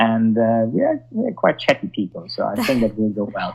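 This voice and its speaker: A man speaks in a German accent at medium pitch. His pace is fairly quick and his intonation fairly even. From Germany. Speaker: sommelier. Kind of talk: interview. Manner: halting.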